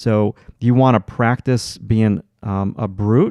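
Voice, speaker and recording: This man has a Long Island accent and a fairly low pitch. The sound is dry and close, with no echo. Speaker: art teacher. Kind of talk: live stream tutorial. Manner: halting, many filler words.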